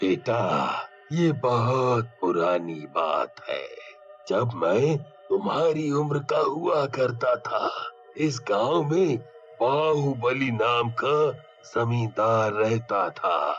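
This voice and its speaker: Clear music plays behind a cartoonish character voice with lively intonation. The delivery is very slow. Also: man, medium pitch for a man. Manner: grave, measured.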